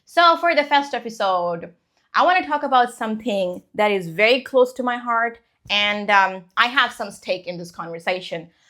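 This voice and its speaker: Bright, sharp tone and lively intonation come through at a moderate pace on a very clean recording with a silent background. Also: woman. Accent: non-native. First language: not English. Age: 20s. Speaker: English teacher and podcast host. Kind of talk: casual podcast monologue. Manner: conversational, with fillers.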